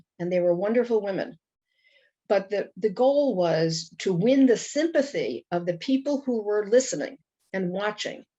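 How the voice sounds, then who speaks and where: With a Brooklyn accent, a woman speaks at a moderate pace using lively intonation. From Brooklyn, New York. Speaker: Holocaust educator. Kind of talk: interview.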